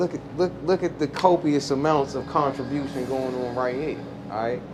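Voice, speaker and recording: A man with a DC accent speaks at a moderate pace in a fairly high voice. Background noise is noticeable. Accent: DC accent, noticeable r-sounds. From Washington, DC. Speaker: rapper. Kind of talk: casual podcast chat. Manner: animated.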